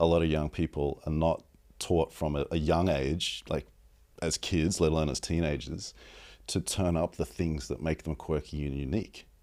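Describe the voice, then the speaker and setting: In an Australian accent, a man speaks at a very deep, low pitch with vocal fry and a dark, mellow tone. His intonation is fairly even, his pace moderate, and the recording very clean with a silent background. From Australia, Sydney. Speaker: advertising strategist. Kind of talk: casual interview.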